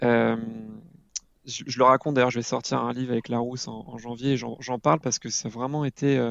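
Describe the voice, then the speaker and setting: Fairly even intonation and a fairly quick pace from a man at medium pitch. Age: 30s. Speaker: parenting blogger and father. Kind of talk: podcast interview. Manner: halting, with frequent hesitations.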